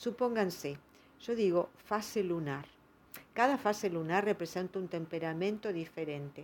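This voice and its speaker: An ordinary speaking voice from a woman, medium in pitch with ordinary pitch variation, at a fairly slow pace. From Argentina, provinces. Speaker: astrologer. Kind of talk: monologue talk.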